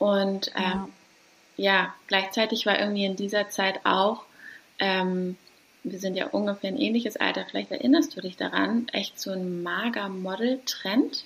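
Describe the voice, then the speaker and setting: A woman's medium-pitched voice with ordinary pitch variation, at a fairly slow pace. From Hamburg, northern Germany. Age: 30s. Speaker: doula. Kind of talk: casual interview. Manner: warm, soft.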